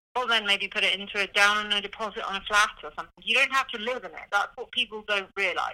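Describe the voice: A woman with a British accent talks at a very fast pace with hardly any pauses, her medium pitch and bright, sharp tone carried on fairly even intonation while her loudness swings widely.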